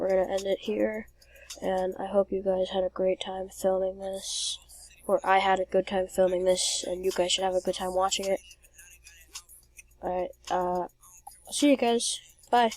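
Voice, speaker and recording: Music plays in the background while the speaker talks at a moderate pace. The intonation is monotone and flat, with long, frequent pauses. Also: woman, medium pitch for a woman. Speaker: gaming youtuber. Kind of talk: gameplay commentary. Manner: slurred.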